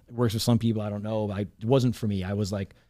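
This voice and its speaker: A man with an American accent speaks in a fairly low pitch. His tone is dark and mellow, with fairly even intonation. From Long Island, New York. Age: 30s. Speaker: entrepreneur. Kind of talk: casual chat. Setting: studio. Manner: halting.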